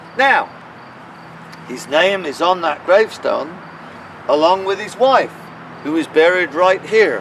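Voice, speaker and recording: A high-pitched man's fairly slow, lively-intoned speech, full of long, frequent pauses, over noticeable background noise. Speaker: town crier. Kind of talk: guided walking tour narration, storytelling. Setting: outdoors in a cemetery. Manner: dramatic, animated storytelling.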